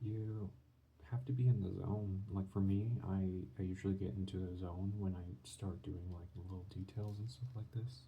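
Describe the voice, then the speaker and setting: In a room with audible echo, a man speaks at a moderate pace in a dark, mellow, somewhat breathy tone. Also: fairly low pitch for a man, ordinary pitch variation. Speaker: art channel creator. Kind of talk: drawing tutorial commentary. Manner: soft-spoken; halting.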